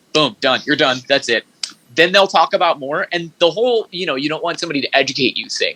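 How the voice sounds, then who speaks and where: A man with an American accent talks very fast at a fairly high pitch. The recording is dry and close, with no echo. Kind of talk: casual interview conversation. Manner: stammering; fast, tumbling.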